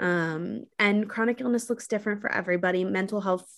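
Speaking at a very fast pace, a woman with a medium pitch talks in an American accent. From New York City. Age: 20s. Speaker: content creator and mental health advocate. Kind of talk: casual interview.

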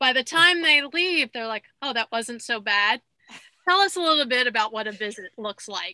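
A woman with a slight Long Island accent speaks at a moderate pace with high pitch, lively intonation and a bright, sharp tone. The recording is very clean with a silent background and a dry, close sound with no echo. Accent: slight Long Island New York. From Long Island, New York. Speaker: podcast host, dietitian. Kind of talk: interview, casual chat.

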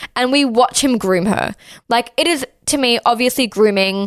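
Her intonation is lively, and she speaks high for a woman in an Australian accent. The recording is very clean, with a silent background. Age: 20s. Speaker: podcast host. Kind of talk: casual chat.

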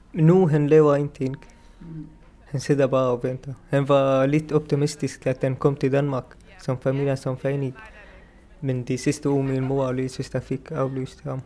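A man in an Arabic accent speaks at a fairly slow pace with a fairly high pitch. His intonation is monotone and flat. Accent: Arabic-accented Danish. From Syria. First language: Arabic (speaking Danish). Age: 20s. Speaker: refugee, pastry chef student. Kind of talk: interview.

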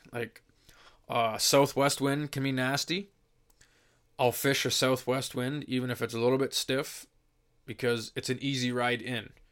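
In an Ontario accent, a man talks at a moderate pace and medium pitch with monotone, flat intonation. He leaves long, frequent pauses. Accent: Canadian (Ontario). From southwestern Ontario, Canada. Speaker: fishing guest expert. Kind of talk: casual chat.

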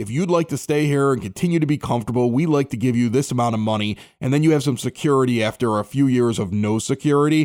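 An ordinary speaking voice from a man at medium pitch, lively intonation and a fairly quick pace, dry and close with no echo, very clean recording with a silent background. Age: 40s. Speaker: podcast host. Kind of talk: casual chat. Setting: home basement.

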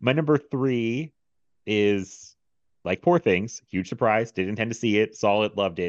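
With a plain, everyday voice, a man speaks at a moderate pace and a fairly low pitch with lively intonation, the sound dry and close with no echo over a quiet background. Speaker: podcast host. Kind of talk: casual chat. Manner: laughs often.

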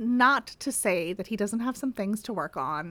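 A passage is read out loud in a voice that sounds natural.

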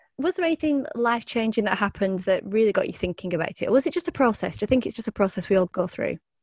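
Very fast and somewhat breathy, a woman with a Lancashire accent speaks at a fairly high pitch with very wide pitch swings, in a dry, close recording with no echo. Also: hardly any pauses, quiet background. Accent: northern English (Lancashire). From northern England (Preston, Lancashire). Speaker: podcast host interviewing a guest. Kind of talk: casual interview chat. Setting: video call.

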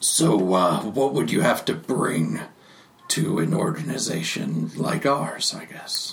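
Putting on a character voice, a man sounds raspy at a fairly low pitch, with very wide pitch swings. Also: fairly slow pace. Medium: actual play. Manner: dry, laconic.

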